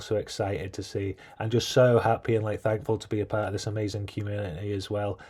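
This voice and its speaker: A man with a British accent talks at a very fast pace in a fairly low pitch. His dark, mellow tone is somewhat breathy, on a very clean recording with a silent background. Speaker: gaming youtuber. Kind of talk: casual vlog commentary.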